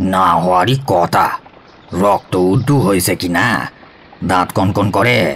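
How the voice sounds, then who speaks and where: A man's put-on character voice, very deep and low, at a fairly slow pace with ordinary pitch variation and very even loudness. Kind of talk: comic character acting. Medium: audio drama. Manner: boastful, brushes off contradiction.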